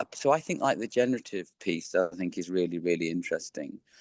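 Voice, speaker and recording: Captured dry and close with no echo, a man with an English accent speaks at a fairly low pitch with ordinary pitch variation. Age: 50s. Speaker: behavioural science consultant. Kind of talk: interview. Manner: halting, lots of fillers and repeats.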